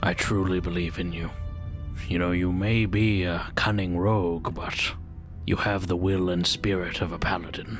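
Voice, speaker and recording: Loud music plays behind a man doing a put-on character voice with a very deep, low pitch. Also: moderate pace. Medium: actual play. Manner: warm, earnest, reassuring.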